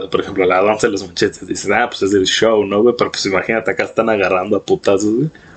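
With a Mexican accent, a man talks very fast at a fairly low pitch, hardly pausing, over noticeable background noise. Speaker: podcast host. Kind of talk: casual chat. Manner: animated.

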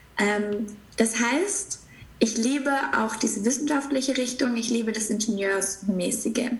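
Over noticeable background noise and audible room echo, a woman speaks fairly slowly at a fairly high pitch with ordinary pitch variation. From southern Germany, near Stuttgart. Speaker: spiritual business coach. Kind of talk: casual interview.

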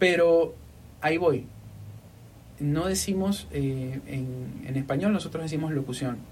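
Somewhat breathy, fairly slow speech with a coastal Ecuadorian accent. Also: man. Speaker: podcast host and voice-over artist. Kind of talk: casual interview. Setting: studio.

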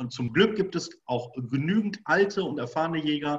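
This man's voice is fairly high and somewhat breathy. His intonation stays lively. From Germany, Bochum (Ruhr area). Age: 40s. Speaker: hunting school owner and instructor. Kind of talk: casual interview.

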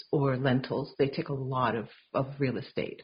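A woman with a Canadian accent speaks at a fairly slow pace in a very deep, low voice that is somewhat breathy. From Vancouver, Canada. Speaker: podcast host. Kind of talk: interview conversation.

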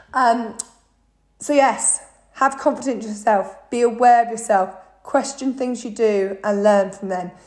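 At a moderate pace, a woman with a British accent speaks in a fairly high pitch with fairly even intonation. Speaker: fitness coach. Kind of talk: podcast monologue.

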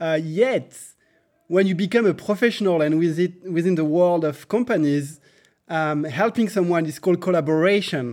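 In a French accent, a man speaks at a moderate pace, his high pitch showing ordinary variation. The recording is very clean, with a silent background. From France. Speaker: software engineer, coding school co-founder. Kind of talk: interview. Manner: halting, many fillers.

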